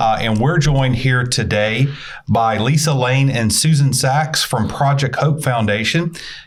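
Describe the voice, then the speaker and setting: With a slight Southern US accent, a man at medium pitch talks at a fairly slow pace with ordinary pitch variation and very even loudness, amid audible room echo and noticeable background noise. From US South. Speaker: podcast host. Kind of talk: casual interview.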